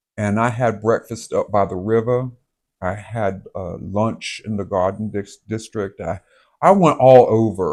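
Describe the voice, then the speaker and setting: Against a quiet background, a man with a Southern US accent talks at a fairly slow pace in a fairly low pitch with ordinary pitch variation. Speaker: vlogger. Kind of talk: casual chat. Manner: halting.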